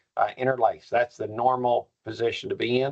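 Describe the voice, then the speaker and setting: At a fairly quick pace, a man with a Kentucky accent talks in a medium pitch. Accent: persistent Kentucky. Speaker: professor. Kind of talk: workshop lecture.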